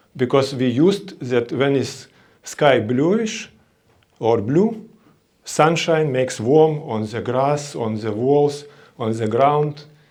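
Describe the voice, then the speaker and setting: Speaking at a very slow pace, a man uses lively intonation at a fairly high pitch. There is audible room echo. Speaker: conference speaker, interior design company head. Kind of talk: conference presentation. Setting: conference stage with audience. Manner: halting.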